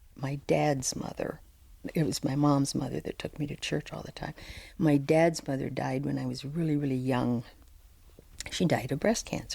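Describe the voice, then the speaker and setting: Speaking at a moderate pace with long, frequent pauses, a woman with a very deep, low pitch and a dark, mellow tone uses ordinary pitch variation. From US Midwest, moved around a lot. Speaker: podcast guest sharing faith story. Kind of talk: interview testimony.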